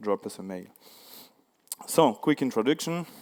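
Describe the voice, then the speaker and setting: A man with a French accent and ordinary pitch variation. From France. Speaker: security researcher. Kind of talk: conference talk. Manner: halting, many fillers.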